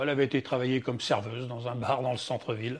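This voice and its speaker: A man talks at a very fast pace. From western France, Loire-Atlantique (Châteaubriant). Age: 70s. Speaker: retired foundry worker, grandfather. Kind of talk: life-story interview. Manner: halting.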